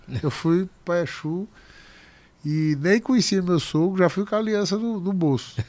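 This man's high-pitched voice, with ordinary pitch variation, moves at a fairly slow pace. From Paraíba, Brazil (Picuí), raised partly in Recife. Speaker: restaurateur. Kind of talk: casual interview chat.

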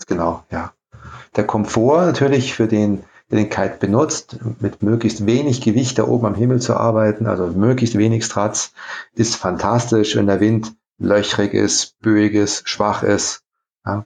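An unremarkable speaking voice from a man, fairly low in pitch with fairly even intonation. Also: fairly slow pace. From Saarland, Germany (Saarlouis). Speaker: kite company co-founder. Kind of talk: interview.

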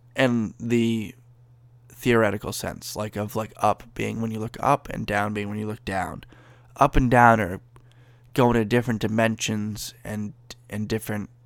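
Flat and monotone, a man speaks at a medium pitch and a moderate pace. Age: 20s. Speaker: podcast host and package delivery worker. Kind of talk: solo casual monologue. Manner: rambling with frequent fillers.

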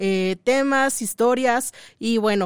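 In an ordinary speaking voice, a woman talks at a fairly high pitch with ordinary pitch variation. The recording is very clean and dry, close with no echo and a silent background. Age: 30s. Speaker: radio host. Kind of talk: casual chat.

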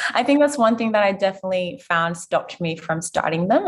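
Somewhat breathy, a woman speaks at a very fast pace. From Zimbabwe. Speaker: physiotherapist and podcast host. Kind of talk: interview conversation.

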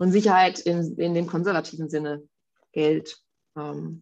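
Against a quiet background, a woman with a very deep, low pitch speaks at a fairly slow pace in a monotone, flat way. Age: 40s. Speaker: podcast co-host, mother. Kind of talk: casual chat.

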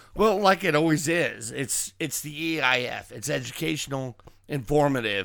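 At a moderate pace, the speaker talks with vocal fry. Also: man. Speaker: podcast host. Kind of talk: casual chat.

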